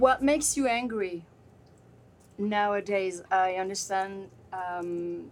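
A woman speaks with ordinary pitch variation. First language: French. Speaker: podcast host and interviewer. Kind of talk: interview. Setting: hotel room.

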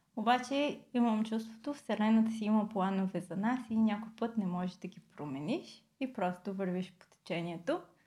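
In a slight Australian accent, a woman speaks at a moderate pace, her fairly high, somewhat breathy voice dark and mellow in tone with ordinary pitch variation. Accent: slight Australian English tinge in Bulgarian. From Bulgaria. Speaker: product designer. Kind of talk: interview conversation. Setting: studio.

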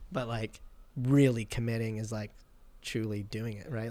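A man speaks with a Canadian accent. His intonation is monotone and flat. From Vancouver Island, Canada. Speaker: actor. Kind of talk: casual chat.

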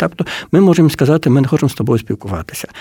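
Talking at a very fast pace, a man speaks in a dark, mellow tone. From Poland (Ukrainian community, Lemko roots). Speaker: book publisher. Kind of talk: radio interview.

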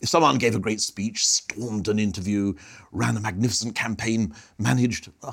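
A man speaks in a normal speaking voice at medium pitch. His pace is fairly quick. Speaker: podcast host and consultancy chairman. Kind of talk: moderated discussion on politics.

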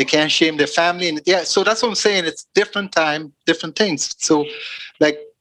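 A man talks at a high pitch with a bright, sharp tone. He moves at a fairly quick pace with ordinary pitch variation. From Guyana. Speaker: podcast guest. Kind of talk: casual chat.

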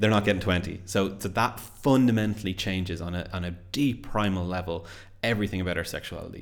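The speaker has a Dublin accent. The pace is fairly quick. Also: man. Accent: Irish (Dublin). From Ireland, Dublin area. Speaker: podcast co-host. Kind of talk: casual chat. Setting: home studio.

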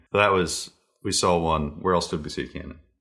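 This man speaks in an American accent with a very deep, low pitch and a bright, sharp tone. His intonation is monotone and flat, his pace moderate, and the recording very clean with a silent background. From US Northeast (New York / Pennsylvania). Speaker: parent podcast co-host. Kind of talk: casual chat.

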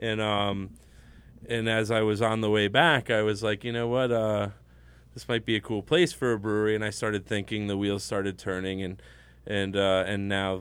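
This is an ordinary speaking voice at a moderate pace. Its intonation stays fairly even. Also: man, fairly low pitch for a man. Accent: American. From Connecticut. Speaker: brewery owner. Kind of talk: casual chat. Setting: studio.

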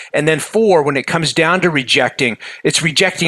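Noticeable background noise accompanies a man with a fairly high pitch who speaks at a moderate pace with ordinary pitch variation. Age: 50s. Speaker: motivational author and keynote speaker. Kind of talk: podcast interview.

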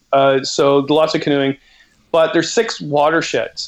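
A normal speaking voice with a Canadian accent carries ordinary pitch variation. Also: man. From Canada. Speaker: outdoor author and educator. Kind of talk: casual interview chat. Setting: video call.

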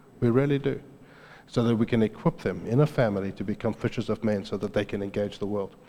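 A man speaks very fast in a South African accent. His voice is fairly low, dark and mellow, with ordinary pitch variation. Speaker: preacher. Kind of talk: sermon. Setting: church.

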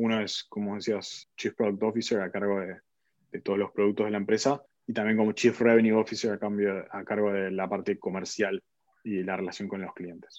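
Against a quiet background, a man speaks at a fairly quick pace. His pitch is fairly low and his intonation fairly even. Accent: Argentine. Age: 30s. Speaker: tech executive. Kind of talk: interview.

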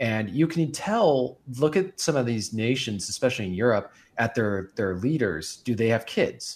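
Someone with a normal speaking voice talks at a moderate pace with hardly any pauses. The intonation is lively, in a very clean recording with a silent background. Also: man, medium pitch for a man. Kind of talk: casual chat.

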